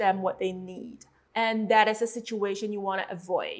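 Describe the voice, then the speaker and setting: A woman speaks at a medium pitch with a Chinese accent, her intonation monotone and flat. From China. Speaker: tattoo artist and mentor. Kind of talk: course introduction. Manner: some hesitations with um.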